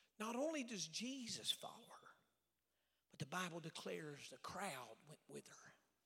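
A man speaks at a moderate pace in a bright, sharp tone, his pitch swinging very widely. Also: big swings in loudness. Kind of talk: sermon. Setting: church. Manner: animated; call-and-response, urging the crowd to shout back.

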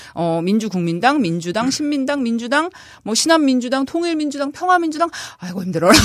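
A woman speaks at a high pitch with very wide pitch swings. Noticeable background noise runs underneath. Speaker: political columnist, former legislative aide. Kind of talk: casual political discussion. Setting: studio.

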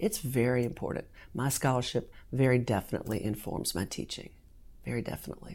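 A woman's very deep, low voice with vocal fry and an American accent, going at a very fast pace. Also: ordinary pitch variation. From US South, southern Virginia. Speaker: law professor. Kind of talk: interview.

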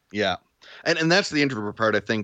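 A man with a Western Canadian accent speaks in a fairly low voice with a bright, sharp tone and lively intonation, recorded dry and close with no echo against a quiet background. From Vancouver Island, Canada (Duncan, BC). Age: 40s. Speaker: video creator and podcaster. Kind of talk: casual interview chat. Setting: remote call.

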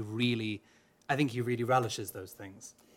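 A man with a Welsh accent speaks at a medium pitch, his intonation fairly even. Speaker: opera singer. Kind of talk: panel interview. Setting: stage with audience.

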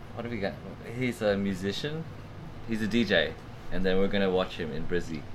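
With an Australian accent and a fairly low pitch, a man talks at a fairly quick pace but leaves long, frequent pauses. Room echo is audible. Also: ordinary pitch variation. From Australia, Sydney. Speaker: podcast co-host. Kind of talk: casual chat. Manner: laughing, animated.

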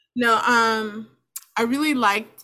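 Her fairly high pitch pairs with a bright, sharp tone and fairly even intonation. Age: 40s. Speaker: parent. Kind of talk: casual chat.

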